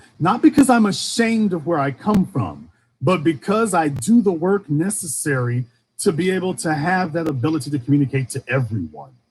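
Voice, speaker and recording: A man's fairly high voice with lively intonation, in an American accent. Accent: Southern accent, mostly suppressed. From US South, Shreveport, Louisiana. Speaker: online commentator. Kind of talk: livestream monologue. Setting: livestream. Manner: impassioned, rhetorical.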